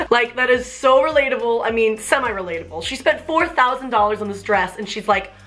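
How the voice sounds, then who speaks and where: Music plays in the background as a woman talks at a very fast pace in an animated tone. Her pitch is fairly high and her intonation lively. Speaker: YouTuber. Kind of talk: casual vlog commentary.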